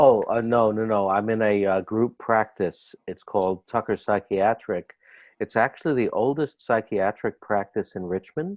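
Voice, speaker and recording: A man with a Bronx accent at a fairly low pitch, moderate pace and ordinary pitch variation, in a dry, close sound with no echo over a quiet background. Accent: New York, Bronx. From US Northeast, the Bronx. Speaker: clinical psychologist. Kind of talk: interview.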